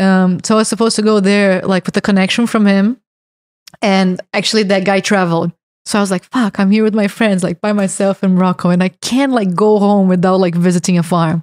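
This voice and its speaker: A woman speaks with a Brazilian accent and fairly even intonation. The recording is very clean with a silent background, dry and close with no echo. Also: medium pitch for a woman, fairly quick pace, very even loudness. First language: Portuguese. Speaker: hash maker. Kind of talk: casual chat.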